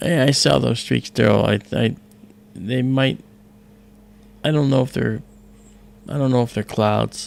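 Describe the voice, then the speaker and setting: A man of medium pitch speaks at a fairly slow pace with long, frequent pauses, and noticeable background noise is present. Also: ordinary pitch variation. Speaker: astronomy livestream host. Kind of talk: casual chat. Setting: live stream.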